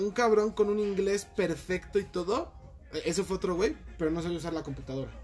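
With noticeable background noise, a man talks at a fairly quick pace in a high pitch with ordinary pitch variation. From Mexico City. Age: 20s. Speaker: call center worker. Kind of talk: casual chat.

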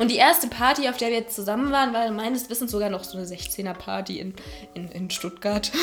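A woman speaks fairly quickly in a fairly high voice, with ordinary pitch variation. Her loudness swings a lot, and music plays in the background. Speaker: longtime friend of the host. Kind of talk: casual chat.

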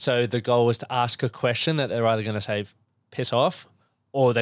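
A man with an Australian accent, fairly even intonation and a moderate pace, in a very clean recording with a silent background. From Queensland, Australia (Toowoomba). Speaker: men's fitness and mindset coach. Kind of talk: casual interview. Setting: podcast studio.

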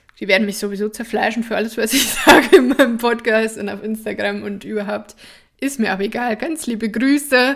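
Against noticeable background noise, a woman speaks fairly quickly in a fairly high pitch, with ordinary pitch variation and big swings in loudness. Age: 20s. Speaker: somatic therapist and podcast host. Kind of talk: personal storytelling monologue. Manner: casual, with frequent fillers and laughter.

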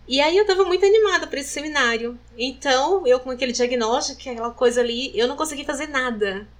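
A woman talks at a very fast pace in a high pitch with lively intonation. Noticeable background noise is present. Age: 40s. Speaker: breast cancer survivor. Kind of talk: testimony.

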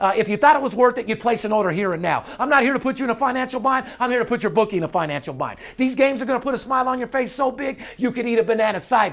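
Speaking at a very fast pace with hardly any pauses, a man uses an animated tone, an extremely high voice and ordinary pitch variation. Background noise is noticeable. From Las Vegas. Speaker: sports betting handicapper and podcast host. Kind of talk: casual chat; sales pitch.

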